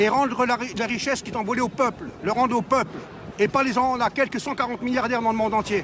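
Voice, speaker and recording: Talking at a very fast pace, a man's voice is animated and extremely high-pitched. Noticeable background noise is present. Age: 60s. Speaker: street protester. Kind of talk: street interview.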